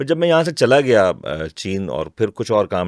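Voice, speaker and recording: A man talks with lively intonation. The recording is very clean with a silent background, and the sound is dry and close with no echo. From Pakistan, Mansehra roots, raised in Karachi. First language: Hindko (speaking Hindi). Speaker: voice actor and poet. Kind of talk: interview. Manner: clear.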